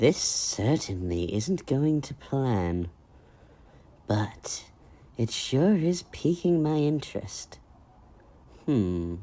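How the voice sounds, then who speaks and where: Using a put-on character voice at a low-to-middle pitch, the speaker goes at a very slow pace with very wide pitch swings and long, frequent pauses. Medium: audio drama. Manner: sly, relishing.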